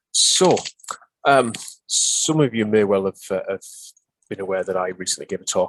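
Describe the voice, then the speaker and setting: A man speaks at a moderate pace with a Northeast English accent. The sound is dry and close, with no echo. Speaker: pharmacy superintendent presenting a webinar. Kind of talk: webinar presentation. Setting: online webinar. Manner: halting, many filler sounds.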